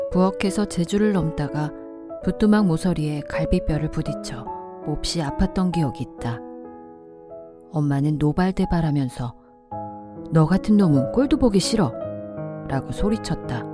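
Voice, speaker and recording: A woman speaks with a very deep, low pitch at a moderate pace, her pitch swinging very widely. Long, frequent pauses break her speech while music plays in the background. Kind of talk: audiobook novel reading.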